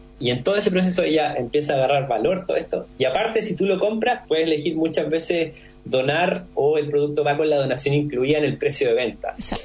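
A man's fairly high voice at a very fast pace with hardly any pauses, very even loudness, ordinary pitch variation and noticeable background noise. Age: 30s. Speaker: entrepreneur, founder of a glass recycling company. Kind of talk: interview.

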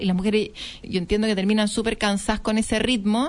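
A woman with an unremarkable speaking voice, a fairly high pitch and fairly even intonation. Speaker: radio host, entrepreneur. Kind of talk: radio interview.

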